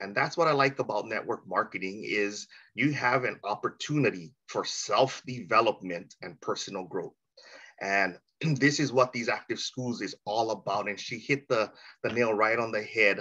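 A man with a Hawaiian accent speaks at a moderate pace and medium pitch, bright and sharp yet warm and enthusiastic, with ordinary pitch variation against a quiet background. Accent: Hawaiian-inflected American English. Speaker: meeting host. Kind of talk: hosting an online training call. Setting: video call. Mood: warm, appreciative. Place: home room. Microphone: video call.

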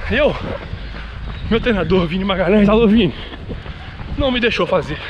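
A high-pitched man over light background noise. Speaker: running vlogger. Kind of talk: casual vlog chat. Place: street. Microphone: phone near.

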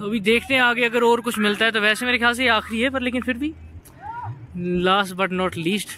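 Over light background noise, a man with an extremely high pitch uses a raised, projected voice at a moderate pace, with ordinary pitch variation and a dry sound with no echo. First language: Punjabi (speaking Hindi). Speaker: vlogger. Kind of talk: casual travel vlog narration. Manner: casual and chatty. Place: open country. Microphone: phone near.

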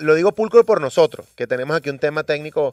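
Against a quiet background, a man speaks at a very fast pace in an animated tone, his pitch swinging very widely, with a dry sound and no echo. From Venezuela. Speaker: radio host. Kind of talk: morning radio show chat. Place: studio.

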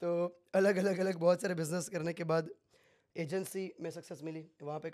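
A man at a high pitch, at a moderate pace, against a quiet background. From Gujarat, India. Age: 20s. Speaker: crypto trader; podcast guest. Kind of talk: casual interview. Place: studio. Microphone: studio mic.

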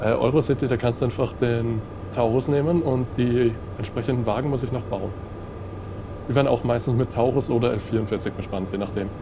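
Noticeable background noise sits behind a man speaking at medium pitch with fairly even intonation. His pace is moderate, with long, frequent pauses. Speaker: train simulator let's play host. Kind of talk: casual gaming commentary.

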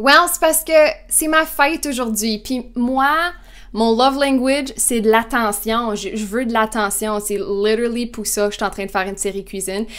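An animated woman speaks in a fairly high voice with lively intonation. The background is quiet. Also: fairly slow pace. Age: 20s. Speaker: vlogger. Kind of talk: casual vlog monologue. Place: kitchen. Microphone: lapel.

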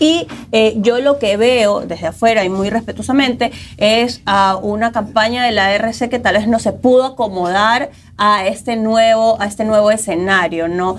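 A woman with an unremarkable speaking voice talks at a fairly slow pace, her fairly high pitch showing ordinary variation, with light background noise behind her. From Ecuador. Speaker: co-host. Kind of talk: news discussion show. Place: studio. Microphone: lapel.

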